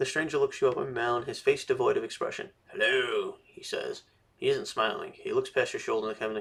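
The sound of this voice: An unforced reading voice carries the whole clip.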